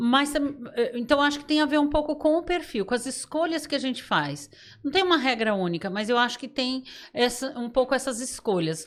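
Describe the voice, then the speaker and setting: A woman's high voice moves along at a moderate pace with lively intonation. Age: 60s. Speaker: podcast guest, trainer. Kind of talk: casual chat. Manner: halting.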